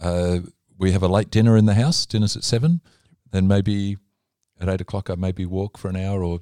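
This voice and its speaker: A man with an Australian accent speaks at a moderate pace in a fairly low, dark and mellow voice, his intonation fairly even, on a very clean recording with a silent background and a dry, close sound without echo. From Australia, Melbourne. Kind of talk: casual interview.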